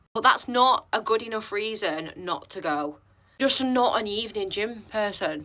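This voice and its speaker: A woman with an English accent, fairly high in pitch, bright and sharp in tone, with lively intonation at a moderate pace. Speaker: fitness coach. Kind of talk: vlog. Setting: gym toilet. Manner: quiet; casual.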